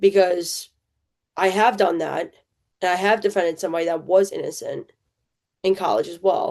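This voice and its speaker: A woman with a New Jersey accent at a moderate pace. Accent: New Jersey American. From central New Jersey, US. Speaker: podcast host. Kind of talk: personal testimony. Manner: casual, halting with fillers.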